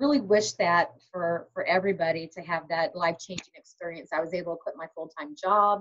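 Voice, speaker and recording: A woman with a fairly low voice talks at a fairly quick pace with hardly any pauses and ordinary pitch variation. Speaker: direct sales team leader. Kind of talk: training webinar. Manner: fast.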